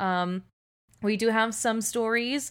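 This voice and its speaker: An ordinary speaking voice comes through at a fairly slow pace with fairly even intonation, in a very clean recording with a silent background. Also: woman. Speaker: podcast co-host. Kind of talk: casual chat. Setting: home recording with AirPods.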